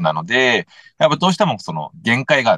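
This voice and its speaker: A man's medium-pitched voice with very wide pitch swings and a bright, sharp tone, dry and close with no echo, over a quiet background. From Tokyo, Japan. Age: 30s. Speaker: mental coach and former soccer player. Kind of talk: interview-style podcast chat. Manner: halting, many fillers.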